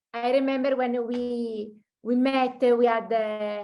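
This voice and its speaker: A woman's fairly high voice at a very slow pace with fairly even intonation, music playing in the background. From Italy. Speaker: journalist and teacher. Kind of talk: interview.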